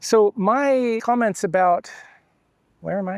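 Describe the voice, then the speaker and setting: A man's voice in a dry, close sound with no echo. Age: 60s. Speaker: travel and photography vlogger. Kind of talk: casual vlog monologue.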